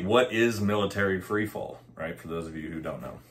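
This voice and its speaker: A man speaks in an ordinary speaking voice, pitched fairly low. He keeps a moderate pace. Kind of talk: casual explainer vlog. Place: home room.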